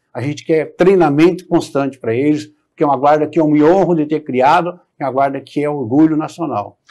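A man talks at a fairly quick pace with hardly any pauses, his pitch fairly high and his intonation fairly even. His tone is dark and mellow, and the background is quiet. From Brazil, São Paulo coast; São Paulo state, Brazil. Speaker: politician, mayoral candidate; politician, candidate. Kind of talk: political interview. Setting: TV studio. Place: studio. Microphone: lapel.

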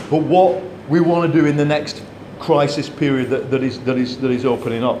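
There's audible room echo and light background noise as a man talks at a fairly quick pace. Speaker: economics commentator. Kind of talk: panel discussion. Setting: stage with audience. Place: meeting room.

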